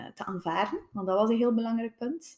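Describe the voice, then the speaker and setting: The voice belongs to a woman and is fairly high in pitch. It sounds somewhat breathy. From Belgium, West Flanders (Tielt). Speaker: physiotherapist. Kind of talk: interview testimony. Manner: halting, many fillers.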